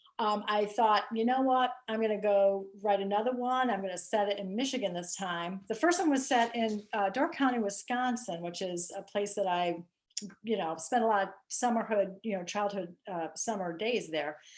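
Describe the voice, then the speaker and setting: A woman's medium-pitched voice with ordinary pitch variation, hardly any pauses and a US Midwestern accent. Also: moderate pace. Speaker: mystery author. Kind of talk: casual interview. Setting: video call.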